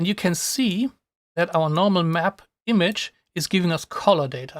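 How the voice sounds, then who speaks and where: A man with a non-native accent speaks at a fairly slow pace with ordinary pitch variation, the sound dry and close with no echo on a very clean recording over a silent background. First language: not English. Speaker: software tutorial streamer. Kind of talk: live tutorial. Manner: casual, with hesitations and restarts.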